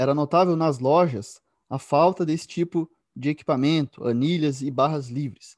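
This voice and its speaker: A man talks at a moderate pace in a plain, everyday voice with a fairly high pitch and ordinary pitch variation. The sound is dry and close with no echo, over a quiet background. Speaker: radio host and exercise science professor. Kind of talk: interview chat.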